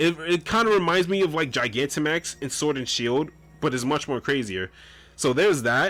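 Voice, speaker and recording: A man speaks with lively intonation and a fairly high pitch at a moderate pace, with music playing behind him. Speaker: gaming YouTuber. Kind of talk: video game tutorial commentary. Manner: occasional stuttering and self-corrections; casual, energetic.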